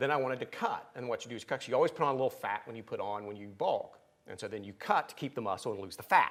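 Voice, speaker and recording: A man with an Appalachian accent speaks very fast at a medium pitch. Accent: Appalachian twang. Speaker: pastor. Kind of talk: sermon.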